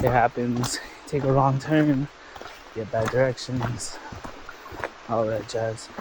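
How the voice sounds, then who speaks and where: A very slow, American-accented delivery with long, frequent pauses over noticeable background noise. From California. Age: adult. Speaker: travel vlogger. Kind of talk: casual vlog narration. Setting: outdoors on a trail.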